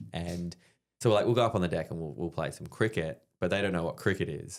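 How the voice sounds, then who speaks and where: Recorded very cleanly against a silent background, a man speaks at a very fast pace in a very deep, low pitch. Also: ordinary pitch variation. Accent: Australian. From Australia. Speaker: army veteran and stand-up comedian. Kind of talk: casual chat, storytelling. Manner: animated.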